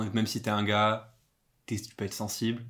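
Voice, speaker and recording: A man with a fairly low pitch at a moderate pace, in a very clean recording with a silent background. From Corsica. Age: 20s. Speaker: podcast guest. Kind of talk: casual chat. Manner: hesitant, many fillers.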